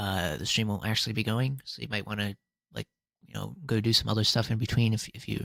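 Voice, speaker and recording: The recording is very clean with a silent background. A man at a medium pitch talks at a fairly quick pace with fairly even intonation. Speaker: game streamer. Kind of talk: live stream talk to viewers. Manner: fast; halting.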